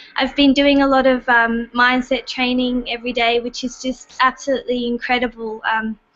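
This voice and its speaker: A woman with an Australian accent speaks at a moderate pace. Her high voice stays monotone and flat. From Australia, Sydney. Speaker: online business member. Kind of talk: casual group video chat.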